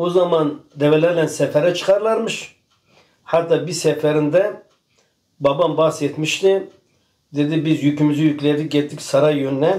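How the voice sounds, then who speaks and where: In an unremarkable speaking voice, a man with a fairly high pitch talks at a fairly slow pace with fairly even intonation and very even loudness. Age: 60s. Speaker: farmer. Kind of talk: casual chat.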